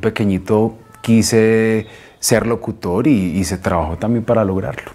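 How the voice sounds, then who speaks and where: The man's voice is fairly low, and its pitch varies in an ordinary way. He delivers his words fairly slowly. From Colombia, Antioquia (paisa). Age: young. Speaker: radio announcer and station director. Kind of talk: interview. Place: studio. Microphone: lapel.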